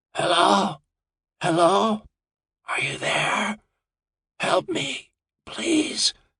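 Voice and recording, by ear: A raspy, put-on character voice at a middle pitch, very slow, with long, frequent pauses.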